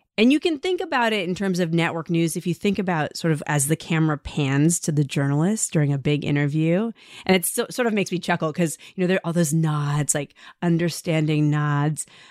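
This woman has an ordinary speaking voice, fairly low in pitch, with ordinary pitch variation and a fairly quick pace. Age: 40s. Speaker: journalist and podcast host. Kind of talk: interview conversation.

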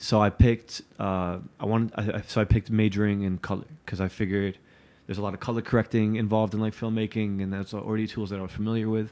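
A man with an American accent speaks very fast in a fairly low pitch, with a dark, mellow tone and monotone, flat intonation. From New Jersey, Newark. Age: 30. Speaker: podcast host and video journalist. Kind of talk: casual interview chat.

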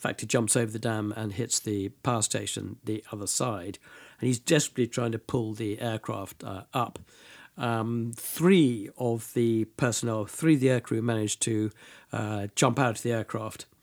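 A man with a British accent talks at a moderate pace and a medium pitch, his intonation fairly even. The sound is dry and close with no echo, on a very clean recording with a silent background. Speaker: military history tour guide and speaker. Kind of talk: informal historical talk in interview. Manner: fluent, hesitant with fillers.

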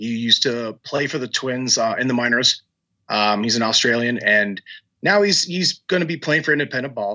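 A man speaks at a moderate pace with an American accent. His medium-pitched voice has lively intonation. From Minnesota, military family moving around. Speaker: baseball fan running a charity effort for minor league players. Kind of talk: podcast interview. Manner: halting, many fillers.

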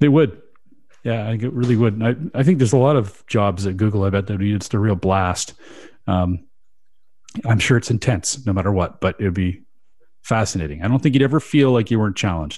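At a fairly quick pace, a man talks in an ordinary speaking voice that is fairly low in pitch, with ordinary pitch variation. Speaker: radio host. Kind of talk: casual chat about SEO news, radio show. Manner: radio-style delivery.

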